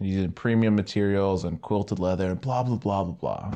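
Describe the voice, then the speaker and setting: Over a quiet background, a man with a plain, everyday voice talks at a fairly quick pace, fairly low in pitch with fairly even intonation. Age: young (18-20s). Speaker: podcast host. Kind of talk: casual chat.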